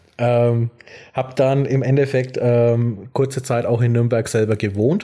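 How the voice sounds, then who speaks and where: A man speaks at a fairly slow pace in a dark, mellow tone, with medium pitch and fairly even intonation, on a very clean recording with a silent background. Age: 20s. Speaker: podcast co-host. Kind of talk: casual chat. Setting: evening recording. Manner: hesitant, many fillers.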